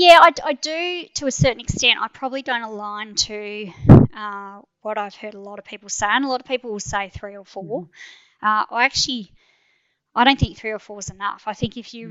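The speaker is a woman in an Australian accent. Her pitch moves with ordinary variation. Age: 40s. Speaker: endurance mountain biker. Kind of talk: interview.

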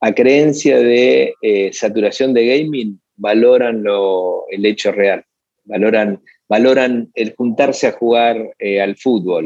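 A man speaks very slowly at a medium pitch with ordinary pitch variation. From Argentina, Buenos Aires. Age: 40s. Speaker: advertising agency founder. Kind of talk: interview. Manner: halting, many repetitions.

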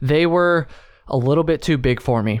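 Speaking with an American accent, a man keeps a moderate pace and ordinary pitch variation. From US Northeast. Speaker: podcast host. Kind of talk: casual chat and solo monologue. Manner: halting, filler-heavy, stumbling.

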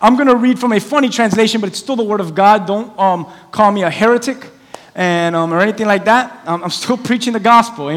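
The text is read aloud plainly. Nothing more is added to the delivery.

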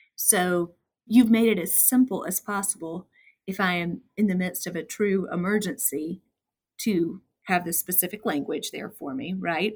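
Speaking at a moderate pace, a woman with a medium pitch and ordinary pitch variation sounds somewhat breathy, her loudness swinging widely. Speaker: podcast co-host. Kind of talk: interview chat.

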